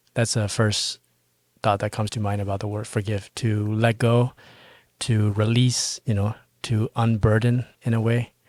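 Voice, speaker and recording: A man with a Burmese accent, at medium pitch and a fairly slow pace, in a monotone, flat delivery, with a dry, close sound with no echo and a very clean recording with a silent background. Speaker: Buddhist podcast co-host. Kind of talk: casual podcast chat.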